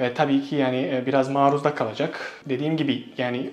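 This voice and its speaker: A man with a Bosnian accent, amid noticeable background noise and audible room echo. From Bosnia and Herzegovina. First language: Bosnian (speaking Turkish). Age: 20s. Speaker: Turkish language teacher. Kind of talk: interview. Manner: hesitant with fillers.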